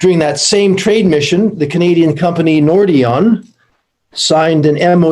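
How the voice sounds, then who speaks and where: A man keeps his intonation fairly even while talking at a moderate speed. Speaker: Canadian diplomat or trade official at energy conference. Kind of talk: conference presentation. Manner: hesitant, many fillers.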